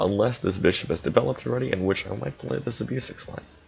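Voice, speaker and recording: Delivered at a very fast pace, the speech sits over noticeable background noise. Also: man. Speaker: chess streamer. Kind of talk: live stream commentary. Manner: halting, many fillers.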